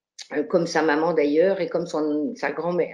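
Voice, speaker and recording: The speaker is a woman. Her voice carries a dark, mellow tone. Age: 60s. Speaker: retired psychogeriatric doctor, association president. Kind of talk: online conference talk. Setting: online seminar. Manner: hesitant, many fillers.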